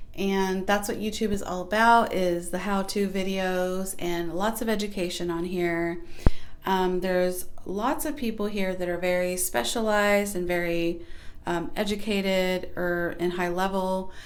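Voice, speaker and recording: Soft-spoken, a woman talks with fairly even intonation amid audible room echo. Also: medium pitch for a woman, fairly slow pace. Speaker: small YouTube creator. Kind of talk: casual vlog advice talk.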